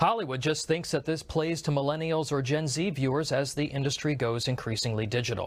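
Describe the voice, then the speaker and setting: A somewhat breathy man talks at a fairly high pitch and a fairly quick pace, with hardly any pauses. His loudness stays very even and his pitch varies in an ordinary way. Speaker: political commentator. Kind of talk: opinion commentary to camera.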